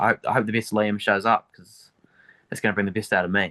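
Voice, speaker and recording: A man talking at a very fast pace, his fairly low voice bright and sharp in tone, with a quiet background and a dry, close sound with no echo. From New Zealand, Dunedin. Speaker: MMA fighter. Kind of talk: interview. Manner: casual, hesitant with fillers.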